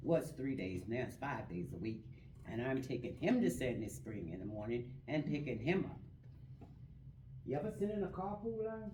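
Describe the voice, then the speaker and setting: A woman with a very deep, low pitch swings very widely in pitch amid audible room echo. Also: moderate pace. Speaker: business opportunity meeting attendee giving testimony. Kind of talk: testimony.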